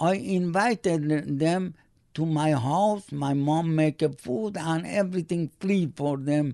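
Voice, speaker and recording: A man with a Persian accent, a dark, mellow tone and fairly high pitch, at a very slow pace against a quiet background. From Iran. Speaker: immigrant father. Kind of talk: oral history interview. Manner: halting.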